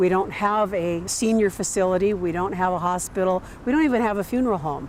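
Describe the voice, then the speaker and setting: The speech moves at a very fast pace. Noticeable background noise is present. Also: woman, medium pitch for a woman, ordinary pitch variation. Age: 60s. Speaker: natural burial cemetery manager. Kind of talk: documentary interview.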